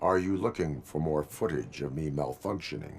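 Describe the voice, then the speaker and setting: A raspy put-on character voice from a man, very deep and low in pitch, at a moderate pace. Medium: video game. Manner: flat, terse, formal.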